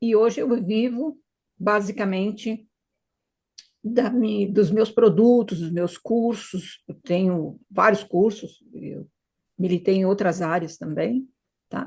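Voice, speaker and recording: A woman with a somewhat breathy voice speaks at a very slow pace, taking long, frequent pauses. Her pitch is medium, with ordinary variation. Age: 70s. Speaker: retired hypnotherapist. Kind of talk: interview.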